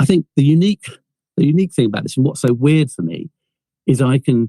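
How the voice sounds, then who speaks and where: Recorded with a dry, close sound and no echo, a man with a fairly high pitch talks very fast, his dark, mellow voice somewhat breathy and his intonation lively. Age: 60s. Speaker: film producer and inventor. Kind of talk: podcast interview. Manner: halting, many repetitions.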